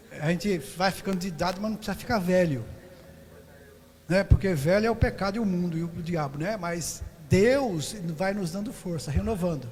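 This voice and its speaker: A man's high-pitched voice at a moderate pace, with ordinary pitch variation, long, frequent pauses and audible room echo. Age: 70s. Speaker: missionary pastor. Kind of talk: sermon; prayer.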